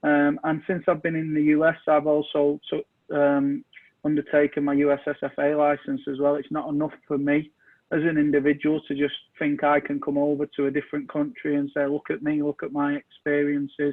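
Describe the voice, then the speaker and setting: In a monotone, flat delivery, a man with a fairly high voice speaks at a fairly quick pace. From England, Manchester. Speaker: soccer coach and technical director. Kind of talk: interview.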